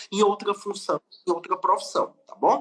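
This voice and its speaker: The speaker talks at a moderate pace in a strong northeastern Brazilian accent. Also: man. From Brazilian Northeast. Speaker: lawyer. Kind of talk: webinar lecture.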